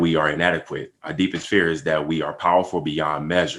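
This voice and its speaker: A man with an American accent speaks at a very deep, low pitch in a monotone, flat intonation. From United States. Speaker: podcast co-host, father. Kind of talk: casual podcast discussion on a call. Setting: group call.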